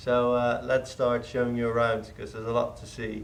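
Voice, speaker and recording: A man with a medium-pitched voice speaks at a moderate pace, and room echo can be heard. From Netherlands. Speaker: car restoration hobbyist. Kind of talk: casual walkthrough. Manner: hesitant.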